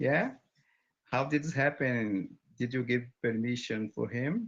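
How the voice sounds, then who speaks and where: A man with a Brazilian Portuguese accent at a fairly slow pace, against a quiet background. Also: medium pitch for a man, ordinary pitch variation. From Brazil, Bahia. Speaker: English learner, barber. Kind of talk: casual chat. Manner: halting.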